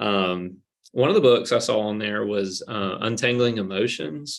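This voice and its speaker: A man talks at a fairly slow pace with a fairly low pitch. He has an ordinary speaking voice. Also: very clean recording, silent background. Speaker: church youth pastor. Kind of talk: casual chat.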